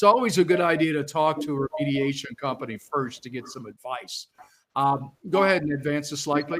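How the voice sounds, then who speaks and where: A man with a plain, everyday voice speaks at a fairly high pitch and with lively intonation. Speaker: panelist, remediation company investigator. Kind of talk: conference panel presentation.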